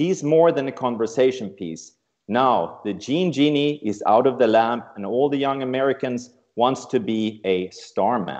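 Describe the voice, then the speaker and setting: With an unremarkable speaking voice at a medium pitch, a man talks at a fairly slow pace with lively intonation. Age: 60s. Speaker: travel company CEO. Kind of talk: prepared speech.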